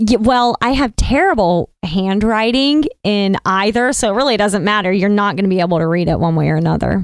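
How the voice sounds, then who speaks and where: Talking at a fairly quick pace with hardly any pauses, a woman with a Southern US accent keeps a medium pitch, ordinary pitch variation and very even loudness. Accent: Southern twang. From US South, coastal North Carolina. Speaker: actress and model. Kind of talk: casual chat.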